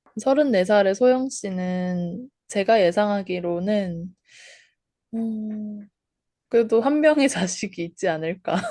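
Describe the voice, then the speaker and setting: This woman talks at a very slow pace with long, frequent pauses. Her tone is dark and mellow. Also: medium pitch for a woman, ordinary pitch variation. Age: 20s. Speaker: podcast co-host. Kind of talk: casual chat.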